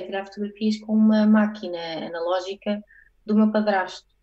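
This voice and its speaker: A woman's somewhat breathy voice sits at a fairly high pitch, with a dark, mellow tone and fairly even intonation. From Portugal. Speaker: photographer; guest. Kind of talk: casual interview. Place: home room. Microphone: earbuds.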